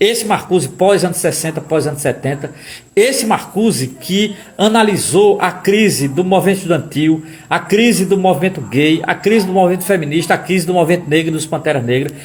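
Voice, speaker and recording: The delivery is animated and fairly quick, with ordinary pitch variation. Audible room echo surrounds the voice. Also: man, high pitch for a man. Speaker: political commentator / lecturer. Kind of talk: live-stream lecture. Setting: live stream. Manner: fast.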